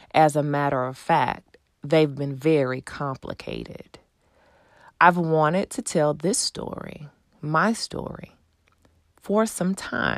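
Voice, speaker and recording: In a Texan accent, a woman with a very deep, low voice talks at a very slow pace, using ordinary pitch variation and long, frequent pauses. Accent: Texan American English. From Texas, Houston. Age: 30s. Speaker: podcast host. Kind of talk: personal storytelling monologue; subscribe appeal.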